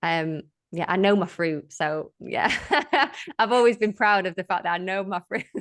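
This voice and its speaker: In an unremarkable speaking voice, a woman talks at a moderate pace and medium pitch with ordinary pitch variation over a quiet background. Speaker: wellness business founder. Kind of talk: casual chat.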